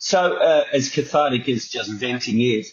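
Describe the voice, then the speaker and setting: A somewhat breathy man with a New Zealand accent. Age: 60s. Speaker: TV producer, radio host and tribute band host. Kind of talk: podcast interview answer. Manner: casual, chatty.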